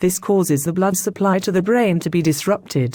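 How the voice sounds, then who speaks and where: Speaking with a British accent, a woman of medium pitch uses a dark, mellow tone at a moderate pace with ordinary pitch variation, on a very clean recording with a silent background. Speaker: stroke charity representative. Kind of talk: scripted educational interview answer.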